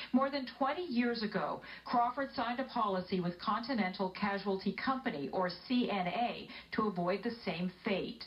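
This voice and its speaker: A woman speaks at a moderate pace with lively intonation and a fairly high pitch. Noticeable background noise runs under her voice. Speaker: TV news reporter. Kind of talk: TV news report narration.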